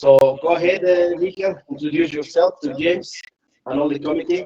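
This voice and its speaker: At a moderate pace, a man with a fairly high pitch and a dark, mellow tone speaks with lively intonation. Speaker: seafarer and branch organizer. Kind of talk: meeting chairing. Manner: halting, repetitive.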